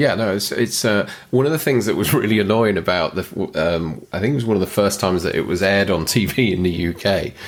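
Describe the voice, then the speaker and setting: With ordinary pitch variation, an ordinary speaking voice runs at a fairly quick clip. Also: man, fairly low pitch for a man. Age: 40s. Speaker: movie podcast co-host. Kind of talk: casual chat.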